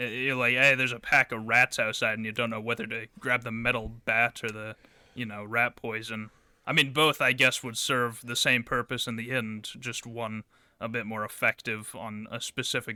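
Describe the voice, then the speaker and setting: A man's gruff, put-on character voice at a medium pitch, with monotone, flat intonation, a moderate pace and a dry, close sound with no echo. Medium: actual play.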